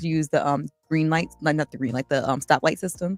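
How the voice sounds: Over background music, a woman with a very deep, low pitch talks at a fairly quick pace and fairly even intonation, the sound dry and close with no echo.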